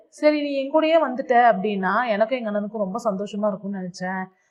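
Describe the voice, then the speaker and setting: A woman speaks with lively intonation. She has an ordinary speaking voice. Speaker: drama recap narrator. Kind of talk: drama plot retelling. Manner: casual, conversational.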